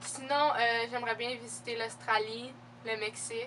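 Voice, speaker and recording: A woman with a Quebec accent, fairly high-pitched at a moderate pace, in monotone, flat intonation over noticeable background noise. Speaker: beauty and fashion youtuber. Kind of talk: casual Q&A vlog. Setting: home video recording with laptop. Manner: casual, many fillers.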